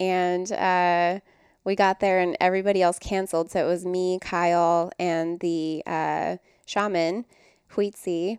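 On a very clean recording with a silent background, the sound is dry and close with no echo. A woman with a fairly low voice speaks fairly slowly in a flat monotone. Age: 30s. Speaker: wellness guest, mother. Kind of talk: casual interview chat. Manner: soft-spoken.

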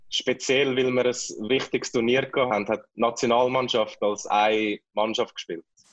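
A man talks in a normal speaking voice. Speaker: ice hockey player, national team captain. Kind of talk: interview.

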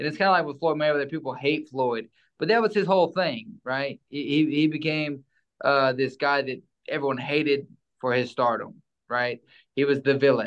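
The speaker is a man with a fairly high pitch. He keeps a moderate pace and ordinary pitch variation. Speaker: former boxer and preacher. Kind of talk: casual interview chat.

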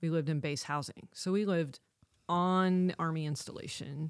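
The speaker uses a plain, everyday voice at a moderate pace with fairly even intonation. The recording is very clean, with a silent background. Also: woman. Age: 40s. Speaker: military spouse and small business owner. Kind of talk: casual interview chat. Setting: studio.

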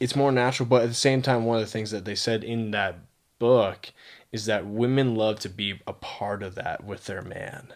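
Here is a man with a normal speaking voice and a medium pitch. His intonation is fairly even and his pace moderate. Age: 20s. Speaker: podcast co-host. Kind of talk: casual chat.

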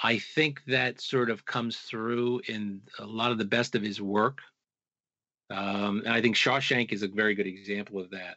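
In a plain, everyday voice, a man with an American accent speaks at a fairly slow pace, fairly low in pitch with ordinary pitch variation. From US Northeast, Long Island, New York. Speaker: author and researcher. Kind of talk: interview.

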